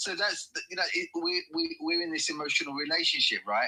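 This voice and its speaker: A man's voice over noticeable background noise. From West Watford, Hertfordshire, England. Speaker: football fan. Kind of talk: casual chat. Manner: halting.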